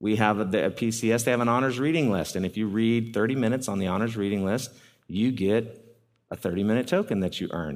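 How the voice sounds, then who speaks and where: A man speaks in a normal speaking voice at a medium pitch with ordinary pitch variation, in a very clean recording with a silent background. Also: fairly quick pace. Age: 40s. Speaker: youth ministry speaker. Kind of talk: talk to parents.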